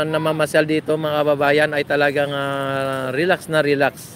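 A man speaks in a flat monotone at a fairly high pitch for a man. The sound is dry with no echo, over light background noise. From Philippines. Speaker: vlogger doing a live stream. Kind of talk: live vlog commentary with passer-by interviews. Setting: outdoors at a beach. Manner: casual, hesitant with many fillers. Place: beach. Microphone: phone near.

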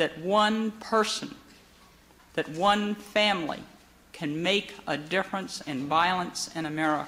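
With ordinary pitch variation, a woman speaks at a fairly slow pace. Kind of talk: formal ceremonial speech. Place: hall. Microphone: podium.

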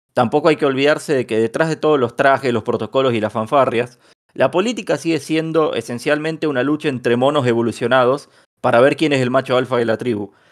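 Delivered at a very fast pace with ordinary pitch variation, the speech sits on a very clean recording with a silent background. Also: man, medium pitch for a man. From Bahía Blanca, Argentina. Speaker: podcast host. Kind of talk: casual podcast discussion.

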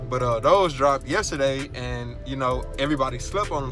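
Clear music plays in the background as a man talks at a fairly quick pace. The sound is dry with no echo. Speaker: sneaker vlogger. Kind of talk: casual vlog chat. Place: car. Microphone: phone near.

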